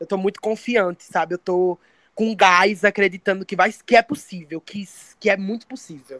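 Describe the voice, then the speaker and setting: In a dry, close sound with no echo, a woman with an unremarkable speaking voice speaks at a moderate pace and medium pitch, with ordinary pitch variation and big swings in loudness. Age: 20s. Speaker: poet and singer. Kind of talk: interview. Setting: remote call, camera off.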